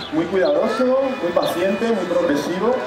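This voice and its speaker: Audible room echo surrounds the voice, with crowd noise in the background. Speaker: presenter. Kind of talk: stage announcement to audience. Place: stage. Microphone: pa.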